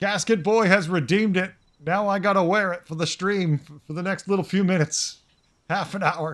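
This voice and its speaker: A man speaks at a fairly quick pace in a high voice, with big swings in loudness. The recording is very clean, with a silent background. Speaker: game streamer. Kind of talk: casual live-stream chat. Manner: animated.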